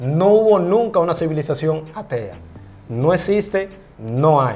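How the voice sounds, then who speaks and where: Speaking at a fairly slow pace with lively intonation, a man has a fairly high pitch and an unremarkable speaking voice. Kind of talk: interview, explaining the Bible.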